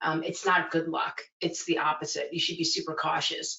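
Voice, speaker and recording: Speaking at a fairly quick pace, a woman with a fairly low pitch talks in a New York accent. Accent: New York American. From New York City (Flushing, Chinatown). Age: 40s. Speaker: museum director. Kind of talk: interview conversation. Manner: smiling while talking.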